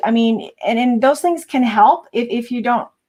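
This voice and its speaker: A woman with a high pitch and ordinary pitch variation. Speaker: psychic reader. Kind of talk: casual chat. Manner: fast.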